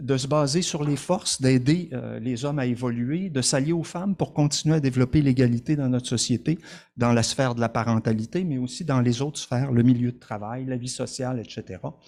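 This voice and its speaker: In a Quebec accent, a man speaks at a fairly quick pace with a dark, mellow tone. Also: medium pitch for a man, ordinary pitch variation, very clean recording, silent background. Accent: Québécois French. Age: 60s. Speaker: social worker and conference speaker. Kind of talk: conference presentation. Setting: conference with audience.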